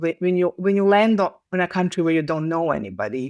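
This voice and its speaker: A woman with a Serbian accent at a fairly low pitch and a fairly quick pace, in a dry, close sound with no echo. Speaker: communications professional. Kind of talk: interview conversation. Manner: halting, with frequent false starts.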